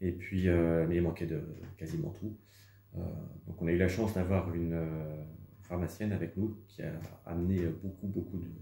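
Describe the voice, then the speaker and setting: With a dark, mellow tone and a very deep, low pitch, a man speaks in a somewhat breathy, monotone, flat way at a moderate pace, leaving long, frequent pauses amid audible room echo. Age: 40s. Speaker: humanitarian volunteer. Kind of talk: testimony interview. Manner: hesitant, many fillers.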